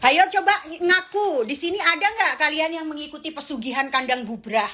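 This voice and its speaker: An animated woman swings her pitch very widely at a moderate pace. Noticeable background noise runs underneath. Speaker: live streamer. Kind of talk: casual live stream chat with viewers.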